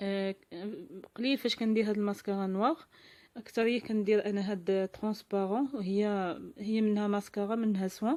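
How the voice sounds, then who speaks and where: A woman's medium-pitched voice with a dark, mellow tone, fairly even intonation and a moderate pace. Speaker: lifestyle vlogger. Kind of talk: vlog tutorial. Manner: halting.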